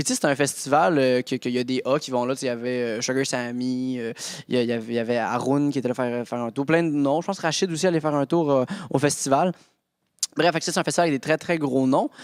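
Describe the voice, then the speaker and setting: A man speaks very fast in an animated tone, his medium pitch moving with ordinary variation. The recording is very clean, with a silent background. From Quebec. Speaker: stand-up comedian. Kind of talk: casual chat.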